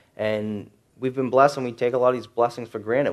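The speech comes at a very fast pace with monotone, flat intonation. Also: man. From US, Italian-American family. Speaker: lay preacher and electrician. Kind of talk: sermon. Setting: church, seated at front. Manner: many filler ums, casual.

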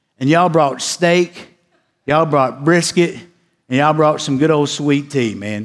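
An animated man with an American accent speaks at a moderate pace. His voice sits fairly high in pitch, with ordinary pitch variation. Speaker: preacher. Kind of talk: sermon. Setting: church. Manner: animated, emphatic, preaching with repeated phrases and rising intensity.

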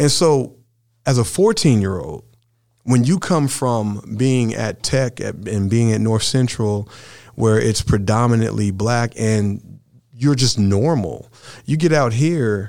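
On a very clean recording with a silent background, a man with medium pitch and a dark, mellow tone speaks at a very slow pace with ordinary pitch variation. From Indiana, US Midwest. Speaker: pastor. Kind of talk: panel discussion.

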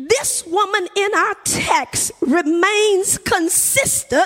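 With noticeable background noise behind her, a woman talks at a very slow pace. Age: 60s. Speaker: preacher. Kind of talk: sermon. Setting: church. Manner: animated.

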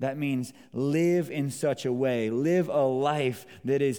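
A man's voice with audible echo from the room. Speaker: visiting pastor. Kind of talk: sermon. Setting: church. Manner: many filler words.

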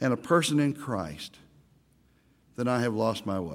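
The speaker has an Oklahoma accent. The intonation is lively. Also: man. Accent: Oklahoma Southern US. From Oklahoma (Ardmore, Oklahoma City). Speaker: Baptist pastor. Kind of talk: sermon. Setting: church or chapel with audience.

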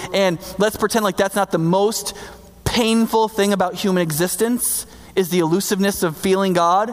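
This man's pitch is high and his intonation fairly even. His loudness stays very even over noticeable background noise. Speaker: pastor. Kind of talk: sermon. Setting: church. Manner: fast talker, mumbles words.

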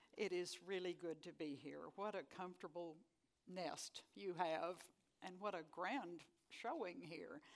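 With an American accent, a woman in a plain, everyday voice speaks at a fairly slow pace and fairly low pitch, with ordinary pitch variation. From Texas. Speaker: author and speaker. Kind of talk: lecture.

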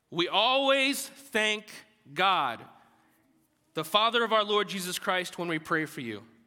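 With a slight Southern US accent, a man projects his high-pitched voice in a bright, sharp tone, going at a fairly slow pace with long, frequent pauses. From US South, Alabama. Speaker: pastor. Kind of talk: sermon. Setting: church. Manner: halting, conversational.

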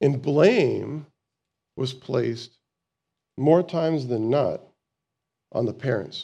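Very slow and marked by long, frequent pauses, this man's voice has a fairly high pitch, ordinary pitch variation, a dark, mellow tone and some vocal fry. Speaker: pastor. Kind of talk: sermon. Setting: church. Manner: loud.

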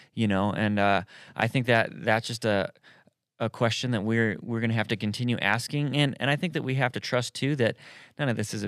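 A man with an ordinary speaking voice talks at a fairly quick pace in a medium pitch, his intonation fairly even, on a very clean recording with a silent background. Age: 30s. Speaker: church podcast host. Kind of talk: casual chat.

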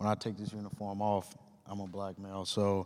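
With an American accent, a man talks at a moderate pace in an unremarkable speaking voice. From Texas, Dallas-Fort Worth. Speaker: police officer. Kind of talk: panel discussion.

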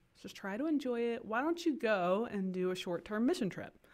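A woman with an American accent speaks at a moderate pace with lively intonation in an ordinary speaking voice. The recording is very clean, with a silent background. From US South, eastern North Carolina (Kinston). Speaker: family physician and medical missionary. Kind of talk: interview conversation.

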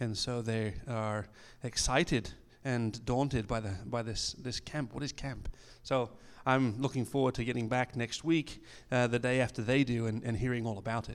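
A man speaks with an English accent at a moderate pace. His intonation stays fairly even. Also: medium pitch for a man. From England. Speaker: missionary. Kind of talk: church talk. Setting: church. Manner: halting.

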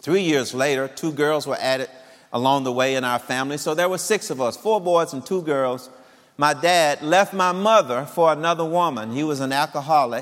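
A man with an American accent has an unremarkable speaking voice, pitched fairly high. He talks at a moderate pace with ordinary pitch variation. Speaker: former fire chief. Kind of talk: testimony. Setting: church.

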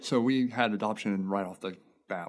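In a very clean recording with a silent background, a man speaks with a Midwestern US accent, using fairly even intonation at a fairly low pitch. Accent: US Midwest. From Indiana, Fowler area. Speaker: foster and adoptive father. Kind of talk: casual chat.

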